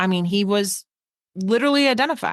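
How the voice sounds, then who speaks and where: Speaking at a moderate pace with a New York accent, this voice shows ordinary pitch variation against a quiet background. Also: woman. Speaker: true crime podcast co-host. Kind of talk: casual chat.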